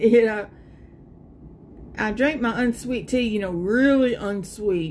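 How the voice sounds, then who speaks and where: Her pace is very slow, with ordinary pitch variation. The woman's pitch sits fairly high. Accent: Southern US. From US South, South Carolina. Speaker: live streamer. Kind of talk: casual chat.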